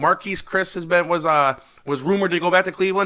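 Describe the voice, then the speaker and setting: A man projects a raised voice at a high pitch. His tone is bright and sharp, and he talks very fast. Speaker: sports podcast co-host. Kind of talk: casual chat. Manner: halting, stutters.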